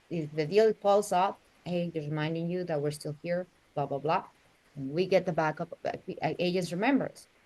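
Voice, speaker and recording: A woman with a strong Mexican accent speaks at a fairly quick pace in a fairly low pitch, with a dark, mellow tone and ordinary pitch variation. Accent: Mexican Spanish accent, thick. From Mexico City, Mexico. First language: Spanish. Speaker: real estate agent. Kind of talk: interview.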